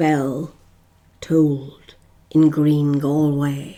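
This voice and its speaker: A woman speaks in a very deep, low voice with a dark, mellow tone. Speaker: guest reader. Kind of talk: poetry reading.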